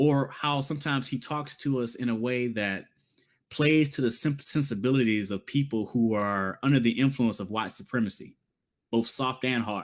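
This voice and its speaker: A plain, everyday voice at a moderate pace with ordinary pitch variation, in a very clean recording with a silent background. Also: man, medium pitch for a man. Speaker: political commentary show host. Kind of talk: political commentary monologue.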